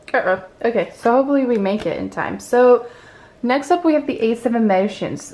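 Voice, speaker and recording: This woman has an ordinary speaking voice at a fairly high pitch. Her pitch variation is ordinary, and her pace is moderate. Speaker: tarot card reader. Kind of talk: pick-a-card tarot reading. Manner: casual, encouraging.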